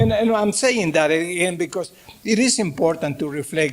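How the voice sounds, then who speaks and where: The speaker has a Mexican accent. The intonation is lively. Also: man. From Mexico. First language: Spanish. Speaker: professor. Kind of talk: lecture. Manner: halting.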